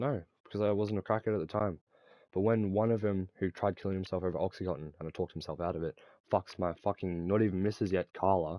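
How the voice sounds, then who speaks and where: Very fast and animated, a man's very deep, low voice with ordinary pitch variation and an Australian accent. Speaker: gaming streamer. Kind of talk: casual chat.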